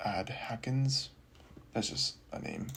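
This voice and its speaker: Whispering at a very slow pace. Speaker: programming tutorial creator. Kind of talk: screen-recorded coding walkthrough. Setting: at home late at night. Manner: halting, many fillers. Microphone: audio quality may be poor.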